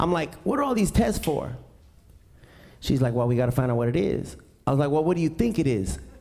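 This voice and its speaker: Speaking with an American accent, a man uses an animated tone and very wide pitch swings, with audible room echo around him. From East Los Angeles. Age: 40s. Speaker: stand-up comedian. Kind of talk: stand-up. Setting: stage with audience.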